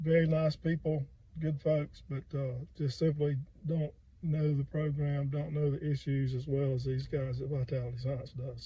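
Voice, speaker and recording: Somewhat breathy and dark, mellow in tone, a man with an American accent speaks at a fairly high pitch in a flat monotone. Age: 60s. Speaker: firefighter. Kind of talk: customer testimonial. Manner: casual, hesitant.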